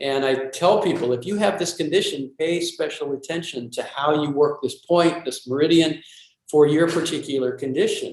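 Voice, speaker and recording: A plain, everyday voice with ordinary pitch variation, moving at a fairly quick pace. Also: man. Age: 60s. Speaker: self-massage teacher. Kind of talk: interview.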